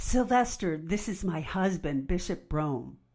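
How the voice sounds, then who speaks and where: Against a quiet background, a woman performs a put-on character voice. It is fairly low in pitch with lively intonation. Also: moderate pace. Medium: audio drama.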